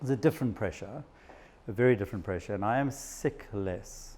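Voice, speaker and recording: A man with a South African accent, a dark, mellow tone and a fairly quick pace. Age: 50s. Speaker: psychiatrist. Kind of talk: talk to an audience.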